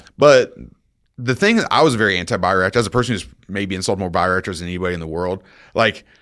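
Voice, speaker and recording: With a Midwestern US accent, a man speaks at a very fast pace in an animated tone. His very deep, low voice has ordinary pitch variation on a very clean recording with a silent background. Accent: US Midwest. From Iowa, Des Moines. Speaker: county water resources supervisor. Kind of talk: podcast interview.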